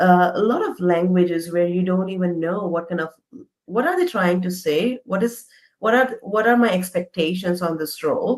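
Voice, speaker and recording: Moderate speed and ordinary pitch movement from a woman at a medium pitch. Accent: Indian. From India. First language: not English. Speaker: interview guest, immigrant professional. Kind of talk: casual interview.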